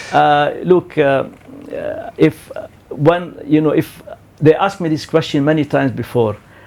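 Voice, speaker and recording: A man talks at a medium speed while background noise can be clearly heard. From Sierra Leone. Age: 70s. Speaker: football analyst. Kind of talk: interview.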